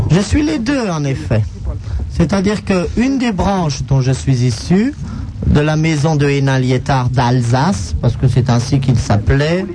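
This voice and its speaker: Speaking at a fairly slow pace, a man with a fairly high pitch uses lively intonation over noticeable background noise and audible room echo. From France, aristocratic family. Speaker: radio co-host. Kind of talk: casual radio banter. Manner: formal, refined.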